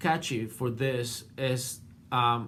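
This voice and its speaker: Audible room echo surrounds a man speaking with a non-native accent. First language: not English. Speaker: art student and portrait painter. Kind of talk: class video response. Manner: halting, many fillers.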